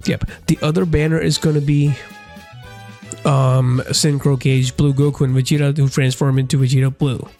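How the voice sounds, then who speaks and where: Over music in the background, a man with a fairly high pitch talks at a moderate pace, keeping a fairly even intonation and very even loudness. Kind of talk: casual gaming commentary.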